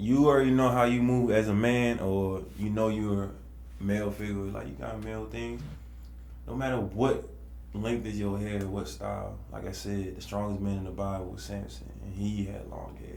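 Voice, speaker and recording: A man's very deep, low, somewhat breathy voice in a Baltimore accent, with very wide pitch swings, a moderate pace and audible room echo. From Baltimore, US. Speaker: podcast guest. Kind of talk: casual chat.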